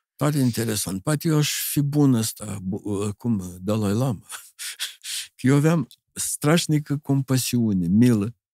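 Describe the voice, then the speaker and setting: Over a quiet background, a man's dark, mellow tone carries lively intonation in a dry sound with no echo. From Moldova, Chișinău; Moldova. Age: 70s. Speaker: illustrator and architect; guest. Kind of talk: interview conversation. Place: studio. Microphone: studio mic.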